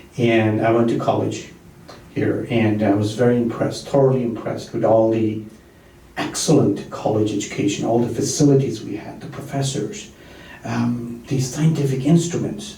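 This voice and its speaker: Amid noticeable background noise and audible room echo, a man with medium pitch speaks at a moderate pace with fairly even intonation. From immigrant, grew up abroad. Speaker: political candidate. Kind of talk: panel discussion.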